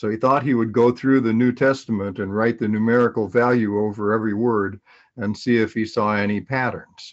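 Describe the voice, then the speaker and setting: The speaker has a Northern US accent and talks at a fairly quick pace. The background is quiet. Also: man, medium pitch for a man, fairly even intonation. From US Midwest (Minnesota). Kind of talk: testimony. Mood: calm, earnest. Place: home room. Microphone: webcam.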